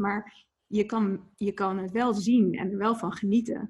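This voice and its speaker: Her voice sits at a medium pitch and sounds somewhat breathy. The woman speaks at a fairly slow pace. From Netherlands (Etten-Leur, Noord-Brabant, and Leiden). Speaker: ice bath instructor and entrepreneur. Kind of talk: interview. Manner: halting, many fillers and repetitions.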